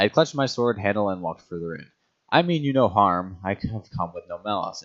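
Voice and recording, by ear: This is reading aloud in a natural voice. The background is quiet.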